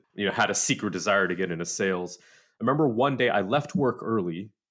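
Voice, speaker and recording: In a very clean recording over a silent background, a man with an American accent speaks at a fairly quick pace with lively intonation. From Southern California. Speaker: tech sales director. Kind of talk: casual interview.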